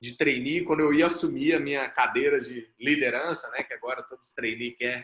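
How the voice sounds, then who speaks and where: A man with a fairly high pitch speaks in an ordinary speaking voice. His pace is moderate and his intonation fairly even. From Brazil, Mato Grosso do Sul (Campo Grande). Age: 30s. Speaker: startup founder and CEO, mentor. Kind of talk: group mentoring talk, personal story. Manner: casual, conversational.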